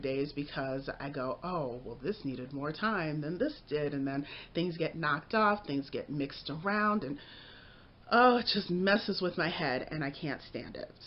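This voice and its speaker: At a moderate pace, a woman speaks with very wide swings in pitch. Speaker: writer vlogger and student. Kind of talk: casual vlog.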